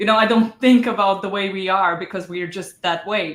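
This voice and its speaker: A woman speaks with a non-native accent at a medium pitch. Her intonation stays fairly even. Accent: non-native English speaker. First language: Croatian. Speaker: novelist and book coach. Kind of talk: interview. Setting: video call. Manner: halting, many fillers.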